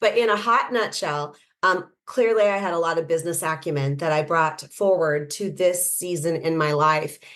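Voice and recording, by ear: At a moderate pace, a woman speaks with a low pitch and a fairly bright tone. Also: ordinary pitch variation.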